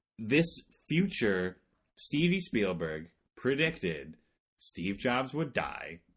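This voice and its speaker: A man speaks very slowly at a medium pitch, with vocal fry and very wide pitch swings. Long, frequent pauses break up his speech. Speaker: podcast co-host. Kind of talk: casual chat. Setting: studio. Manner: loud.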